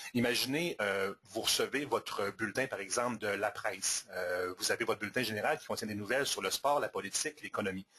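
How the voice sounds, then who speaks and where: This man speaks at a fairly quick clip. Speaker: software presenter. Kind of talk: product demo webinar. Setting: live webinar. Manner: fast.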